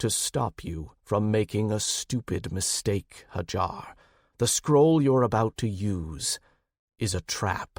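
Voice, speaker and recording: In a put-on character voice, a man speaks at a fairly slow pace and fairly low pitch, captured in a very clean recording with a silent background. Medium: read story. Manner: measured, authoritative.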